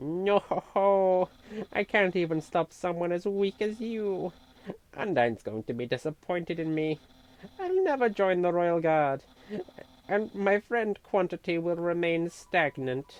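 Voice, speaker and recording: A woman puts on a character voice, fairly low in pitch, and speaks at a fairly slow pace. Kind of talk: comic overacting. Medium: game stream. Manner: grandiose, loud, self-important.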